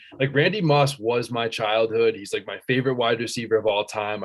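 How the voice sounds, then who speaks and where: Over a quiet background, a man with an American accent talks fairly quickly at medium pitch in a plain, everyday voice. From central Massachusetts. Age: 20s. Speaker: student and sports fan. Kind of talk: casual chat.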